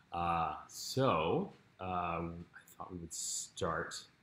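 This man's very deep, low voice has a bright, sharp tone, and audible room echo surrounds it. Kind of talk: guided meditation introduction. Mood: warm, calm, friendly. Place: home room. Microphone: camera far.

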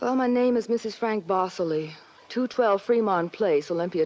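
A woman puts on a soft-spoken, shaky character voice at medium pitch, with ordinary pitch variation and a moderate pace. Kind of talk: 1940s radio acting. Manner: trembling, soft.

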